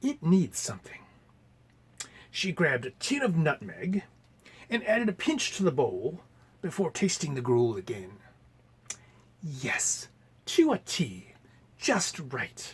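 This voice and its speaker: The speaker is a man going fairly slowly. His pauses are long and come often. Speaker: library storyteller. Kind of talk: storybook narration for children with voiced characters. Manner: expressive, animated.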